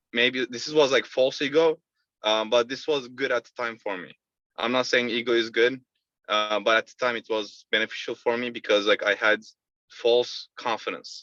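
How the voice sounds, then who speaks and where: A man's bright, sharp tone at a moderate pace, fairly even in intonation, with big swings in loudness and a dry, close sound with no echo. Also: medium pitch for a man. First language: not English. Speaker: sales rep. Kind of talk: interview. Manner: halting.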